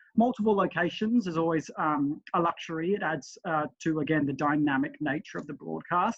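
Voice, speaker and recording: A man's fairly high voice, ordinary pitch variation, fairly quick pace. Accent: Australian. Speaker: relay committee member. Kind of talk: webinar presentation. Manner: fast.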